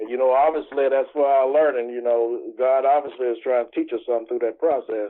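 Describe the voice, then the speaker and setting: With a Southern US accent, a man rattles along at a very fast pace with hardly any pauses, his medium-pitched voice flat and monotone. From US South, Mississippi Delta. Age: 60s. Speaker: pastor and entrepreneur. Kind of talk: interview. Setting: video call.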